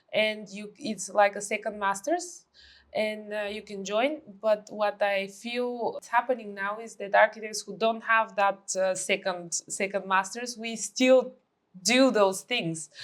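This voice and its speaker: With a Bulgarian accent, a woman talks at a fairly slow pace in a fairly high voice. Her pitch variation is ordinary, while her loudness swings widely. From Bulgaria, Sofia. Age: 30s. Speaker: architect. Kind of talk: podcast interview.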